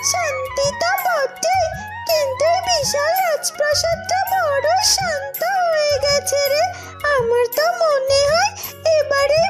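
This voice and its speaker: A cartoonish character voice squeaks at an extremely high pitch and a very slow pace. Clear music plays in the background. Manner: lively, teasing.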